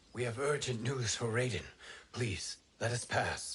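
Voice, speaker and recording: This man talks at a moderate pace in a put-on character voice, his pitch medium for a man. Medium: video game. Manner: calm, formal.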